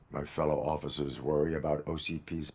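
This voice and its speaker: In a raspy, put-on character voice, a man talks at a fairly quick pace with a very deep, low pitch and monotone, flat intonation. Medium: video game. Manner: flat, clipped.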